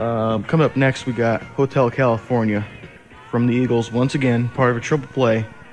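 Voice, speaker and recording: With music in the background, a man speaks at a fairly quick pace and medium pitch, his loudness very even. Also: fairly even intonation. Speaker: college radio DJ. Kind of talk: college radio DJ aircheck. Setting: over-the-air radio broadcast.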